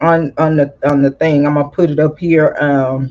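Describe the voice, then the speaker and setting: This woman speaks with a Southern US accent. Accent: country Southern, slow and drawling. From California, then US South. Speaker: YouTube commentator. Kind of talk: casual commentary. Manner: slow; drawling, emotional.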